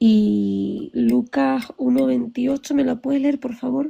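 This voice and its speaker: This woman talks at a very slow pace. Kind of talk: heated debate.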